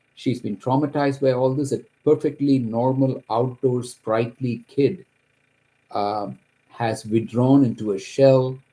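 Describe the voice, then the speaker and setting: With a Kerala accent, a man speaks at a moderate pace in a dark, mellow tone, his pitch medium and its variation ordinary. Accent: Indian English (Kerala). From India, Kerala. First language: Malayalam. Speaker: accountant, homeowner telling his story. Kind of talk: personal testimony. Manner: halting, with fillers and restarts.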